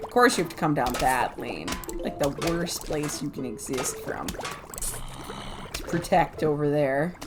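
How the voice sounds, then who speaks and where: With music in the background, a woman speaks at a fairly slow pace in a very deep, low pitch with lively intonation. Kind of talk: casual gameplay commentary. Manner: chatty, rambling.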